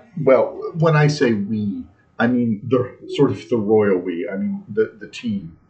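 Somewhat breathy, a man talks at a fairly slow pace with lively intonation and big swings in loudness. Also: medium pitch for a man. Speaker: soccer podcast co-host. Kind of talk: casual chat. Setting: bar basement. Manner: slow, deliberate with pauses.

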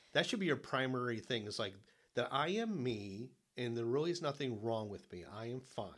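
An ordinary speaking voice moves at a fairly quick pace. The intonation is lively. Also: man, medium pitch for a man. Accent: American. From Detroit area, Michigan. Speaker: podcast co-host and author. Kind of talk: interview.

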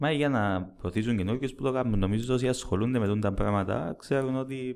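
Against a quiet background, the speaker talks at a moderate pace in a Cypriot accent, with ordinary pitch variation. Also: man. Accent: Cypriot Greek. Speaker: football fan podcast host. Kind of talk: casual chat.

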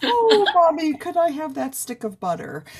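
The speaker uses a put-on character voice, pitched high and delivered at a moderate pace. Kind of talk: cutesy, dopey. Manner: sweet, pleading.

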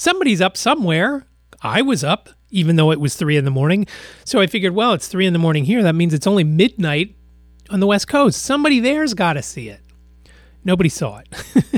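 High-pitched man with an American accent, talking at a very fast pace with very wide pitch swings. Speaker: podcast host. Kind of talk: casual solo podcast monologue. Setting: home studio. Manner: frequent filler phrase you know.

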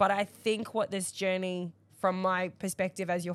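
In a very clean recording with a silent background, a woman with a plain, everyday voice speaks at a fairly slow pace, her medium pitch and fairly even intonation. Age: 30s. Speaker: podcast co-host. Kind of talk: casual chat. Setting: studio.

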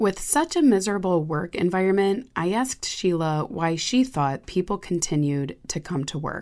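An unremarkable speaking voice, a woman's at medium pitch, moves at a moderate pace with lively intonation and hardly any pauses on a very clean recording with a silent background. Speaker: podcast host narrator. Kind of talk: scripted narration.

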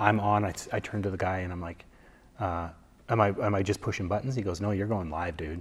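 Fairly low in pitch, a man speaks at a very fast pace with fairly even intonation. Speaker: former radio host turned photographer. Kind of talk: casual interview. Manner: halting, many fillers and repetitions.

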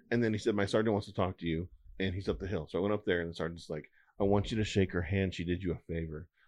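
Very deep and low, a man's voice with a dark, mellow tone races along at a very fast pace with fairly even intonation over a quiet background. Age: 40s. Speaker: cybersecurity guest. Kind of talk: casual chat.

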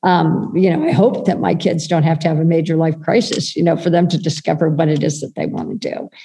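A woman with a plain, everyday voice talks at a fairly quick pace with hardly any pauses. Her pitch is fairly low and its variation is ordinary. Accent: American. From United States. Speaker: children's wellness project founder. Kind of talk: interview conversation.

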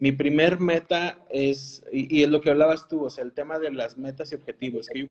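A man's fairly high-pitched, fairly slow delivery in a plain, everyday voice. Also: dry, close sound with no echo. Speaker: oral and maxillofacial surgeon. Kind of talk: casual interview.

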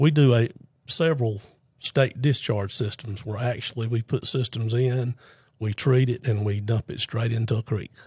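In a very clean recording with a silent background and a dry, close sound with no echo, a man with an American accent speaks at a moderate pace in a medium, somewhat breathy voice with fairly even intonation. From US South, North Carolina (Fuquay-Varina). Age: 60s. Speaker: septic contractor. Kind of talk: casual interview.

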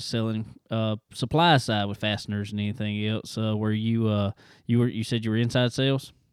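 Pitched in the medium range, this man's voice carries a Southern US accent. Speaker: racing podcast host. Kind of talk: casual chat. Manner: laid-back, laughs often.

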